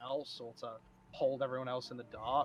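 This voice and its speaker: A man's medium-pitched voice at a moderate pace, with music in the background. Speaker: podcast co-host. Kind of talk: casual chat. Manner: loud. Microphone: cheap headset mic with aggressive noise cancellation, breaking up.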